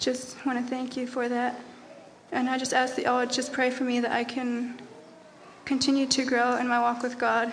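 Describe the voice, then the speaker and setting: Over noticeable background noise and audible room echo, a woman speaks at a moderate pace in a high pitch with a monotone, flat intonation. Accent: American. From Texas. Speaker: youth Bible school student. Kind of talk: testimony.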